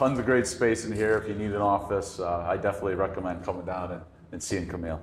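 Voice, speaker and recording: Somewhat breathy delivery at a very fast pace, with fairly even intonation. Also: man, fairly low pitch for a man. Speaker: loan officer. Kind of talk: casual interview. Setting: in person at a real estate office. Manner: stuttering at times.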